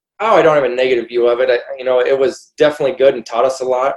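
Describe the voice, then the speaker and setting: Someone with a Midwestern US accent talks at a very fast pace with ordinary pitch variation. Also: man. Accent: US Midwest. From Iowa. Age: 30s. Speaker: sprint car driver. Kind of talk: casual chat.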